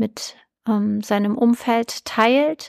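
A woman speaks with a fairly high pitch. The recording is very clean, with a silent background and a dry, close sound with no echo. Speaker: nutrition podcast host. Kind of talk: solo podcast monologue. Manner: hesitant, many filler sounds.

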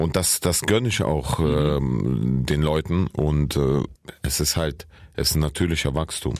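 A man with a very deep, low pitch speaks at a fairly slow pace. His loudness stays very even, his pitch varies in an ordinary way, and there is noticeable background noise. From Saarland, Germany (born in Kyrgyzstan). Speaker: comedian and rapper. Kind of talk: casual chat.

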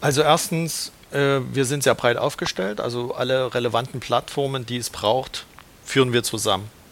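The man keeps a moderate tempo while background noise is clearly heard. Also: medium pitch for a man, ordinary pitch variation. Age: 40s. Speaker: credit brokerage manager. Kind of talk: casual interview.

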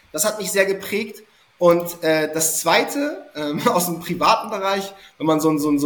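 Against noticeable background noise, a high-pitched man speaks at a moderate pace with ordinary pitch variation. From Hamburg, northern Germany. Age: 30s. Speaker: SEO consultant. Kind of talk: podcast interview.

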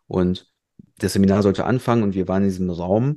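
This man speaks in a dark, mellow tone. His pitch variation is ordinary. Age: 30s. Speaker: podcast co-host. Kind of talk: casual chat.

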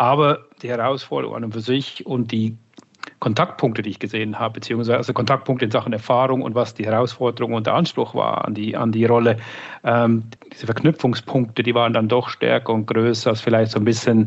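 Medium-pitched male speech at a fairly quick pace, in a monotone, flat intonation. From Switzerland. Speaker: marketing director. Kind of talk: interview.

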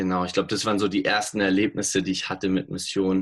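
This man speaks at a very deep, low pitch. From Bavaria, Munich. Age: 20s. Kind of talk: interview. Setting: remote call.

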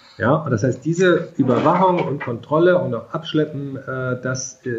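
A man with a fairly high pitch and ordinary pitch variation speaks at a fairly slow pace. His voice is somewhat breathy. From rural Germany. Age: 50s. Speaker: mobility agency director, economist. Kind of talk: interview.

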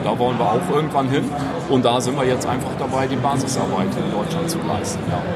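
Very fast speech from a man with a fairly high pitch and fairly even intonation, amid noticeable background noise and audible room echo. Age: 30s. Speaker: amputee footballer and project initiator. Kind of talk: interview. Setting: trade fair floor.

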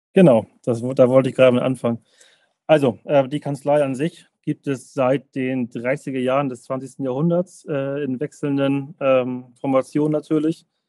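A man with a dark, mellow tone and monotone, flat intonation at a fairly slow pace, in a dry, close sound with no echo. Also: medium pitch for a man. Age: 30s. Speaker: tax advisor, law firm partner. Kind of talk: podcast interview. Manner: halting, many fillers and repetitions.

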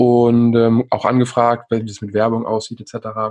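A man talks at a medium pitch and a fairly slow pace. His intonation is monotone and flat, and the sound is dry and close with no echo. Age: 30s. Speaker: golf podcast host. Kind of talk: casual interview chat.

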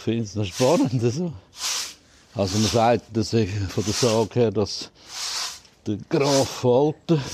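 This man has a Swiss accent and a medium pitch with ordinary pitch variation. Noticeable background noise runs behind him. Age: old. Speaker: deer park keeper. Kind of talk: casual interview. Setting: outdoors.

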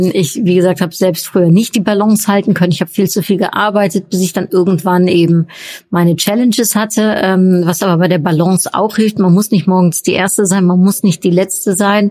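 A woman's medium-pitched voice with a dark, mellow tone, fairly even intonation, very even loudness and a fairly quick pace. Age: 40s. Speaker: podcast host and workshop coach. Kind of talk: solo podcast Q&A monologue. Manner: hesitant, many filler sounds.

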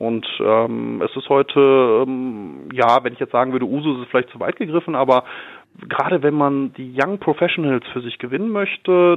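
Pitched fairly high, a man's unremarkable speaking voice shows ordinary pitch variation. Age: 30s. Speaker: commercial real estate manager. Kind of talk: interview. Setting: phone call from his office. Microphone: telephone line.

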